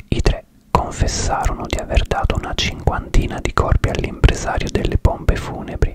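Soft-spoken and whispering, a man talks at a moderate pace, with a dry sound with no echo and noticeable background noise. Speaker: true crime narrator. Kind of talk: true crime storytelling narration. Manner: close-up ASMR whisper, soft and steady. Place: home room. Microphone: studio mic.

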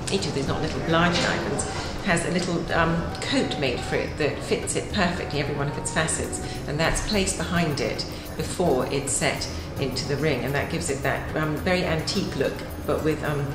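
A woman speaks at a fairly quick pace with ordinary pitch variation, with clear music in the background and audible room echo. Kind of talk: explanatory commentary. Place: office.

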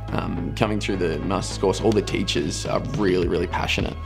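Clear music plays behind a man whose very deep, low pitch makes very wide swings at a fairly quick pace. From north west Victoria, Australia. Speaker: nursing student. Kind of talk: interview answer. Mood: relaxed, upbeat. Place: studio.

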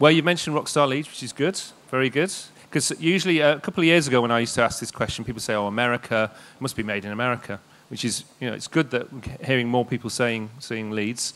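A man with a medium pitch talking at a very fast pace. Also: ordinary pitch variation. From East Yorkshire, England. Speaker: games industry network director; presenter. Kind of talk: public presentation. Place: stage. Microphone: handheld.

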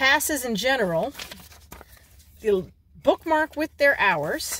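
With very wide pitch swings, a high-pitched woman speaks at a fairly slow pace in a dry sound with no echo and light background noise. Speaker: vlogger. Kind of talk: casual vlog chat. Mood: cheerful, chatty. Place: car. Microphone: phone near.

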